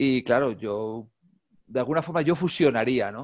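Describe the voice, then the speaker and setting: In a very clean recording with a silent background, a man with an ordinary speaking voice and medium pitch talks at a moderate pace. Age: 50s. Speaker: calisthenics YouTuber and gymnastics coach. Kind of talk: casual interview chat.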